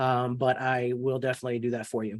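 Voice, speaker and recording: Over a quiet background, a man speaks at a medium pitch. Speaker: real estate software trainer. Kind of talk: online training webinar. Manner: fast.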